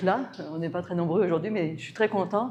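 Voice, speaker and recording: With audible room echo, a woman talks at a fairly quick pace, her medium pitch showing ordinary variation. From France. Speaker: natural health consultant and palmistry speaker. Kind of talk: conference talk. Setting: talk with small live audience.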